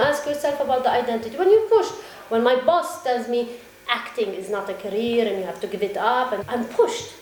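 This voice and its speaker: Fairly quick and lively, a woman's high voice carries noticeable background noise and audible room echo. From Syria and Palestine, moved between countries as a child. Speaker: actress and theater director. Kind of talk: interview. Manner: reflective, with hesitations.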